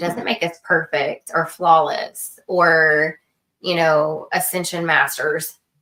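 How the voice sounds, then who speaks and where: A woman speaks with an American accent. Her pitch is fairly low. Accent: Texan, sometimes noticeable. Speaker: podcast co-host. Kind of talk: casual chat.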